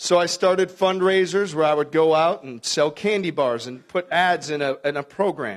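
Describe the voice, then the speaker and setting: Captured on a very clean recording with a silent background, a man with an American accent speaks at a high pitch. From Milwaukee, Wisconsin. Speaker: basketball coach. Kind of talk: speech to a club luncheon.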